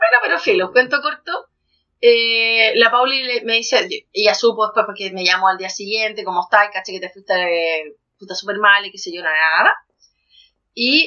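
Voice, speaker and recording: Her pitch is fairly high, and her intonation is lively. This woman speaks at a moderate pace. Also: big swings in loudness. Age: 30s. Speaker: podcast co-host. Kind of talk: casual chat.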